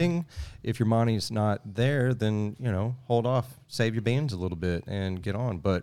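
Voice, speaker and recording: With a Southeast Texas accent, a man of medium pitch talks at a moderate pace with ordinary pitch variation on a very clean recording with a silent background. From Southeast Texas (Sour Lake). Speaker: world traveler and outdoors video creator. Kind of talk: casual chat.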